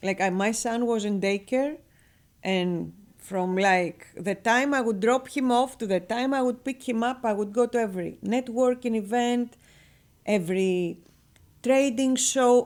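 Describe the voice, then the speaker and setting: Speaking with a Greek accent, a woman talks at a fairly slow pace in a fairly high pitch with ordinary pitch variation. The recording is very clean, with a silent background. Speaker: real estate broker and business owner. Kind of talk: radio interview. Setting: radio studio. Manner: animated.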